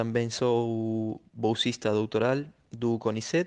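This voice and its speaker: In a Spanish accent, a man speaks at a medium pitch. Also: quiet background. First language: Spanish (speaking Portuguese). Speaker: sociologist. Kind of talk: recorded commentary. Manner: halting, with fillers.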